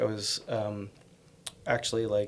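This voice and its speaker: A man with an American accent is mumbling. Noticeable background noise runs underneath. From US Northeast, Connecticut. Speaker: bakery owner and chef. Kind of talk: casual interview. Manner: hesitant, many fillers.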